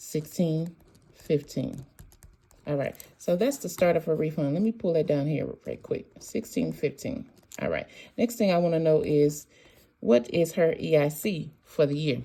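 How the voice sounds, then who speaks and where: A woman speaks with lively intonation. Her tone is dark and mellow. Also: very clean recording, silent background. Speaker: tax preparer. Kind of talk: tutorial. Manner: fast.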